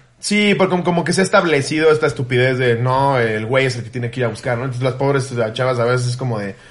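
At a very fast pace with hardly any pauses, a man speaks at medium pitch with ordinary pitch variation. Noticeable background noise is present. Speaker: comedy podcast host. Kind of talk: casual chat.

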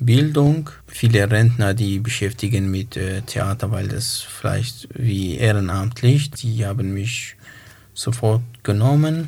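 A medium-pitched man in a Kurdish accent at a very slow pace. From northern Iraq. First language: Kurmanji (speaking German). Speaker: poet and author. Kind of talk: interview. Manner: halting.

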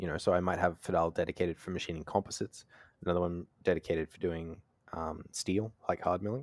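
A man with an Australian accent talks at a very fast pace, his very deep, low pitch showing ordinary pitch variation. The recording is very clean with a silent background, and the sound is dry and close with no echo. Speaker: podcast host and knife maker.

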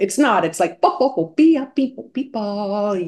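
A woman speaks at a moderate pace in an animated tone. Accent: American. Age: 50s. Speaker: composer. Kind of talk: interview.

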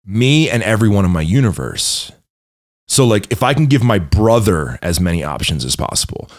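Speaking at a fairly quick pace, a man uses very wide pitch swings and vocal fry. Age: 30s. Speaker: entrepreneur and fitness coach. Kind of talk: casual interview chat.

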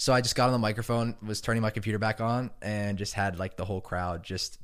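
A normal speaking voice from a man, fairly low in pitch, with fairly even intonation, a fairly quick pace and a very clean recording over a silent background. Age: 20s. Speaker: music producer and DJ. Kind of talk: casual chat.

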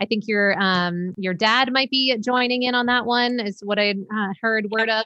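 A woman with an unremarkable speaking voice talks at a moderate pace in a fairly high pitch, with hardly any pauses, very even loudness and fairly even intonation. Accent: American. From Maine, US. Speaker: sleep educator. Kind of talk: interview.

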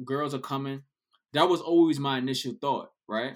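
This man talks with a New York accent and lively intonation. His pace is moderate. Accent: New York City. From New York City. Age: 30s. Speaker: DJ. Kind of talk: casual chat.

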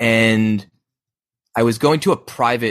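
A man speaks in an unremarkable speaking voice, with a medium pitch and fairly even intonation. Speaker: podcast co-host. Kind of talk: casual chat. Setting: video call.

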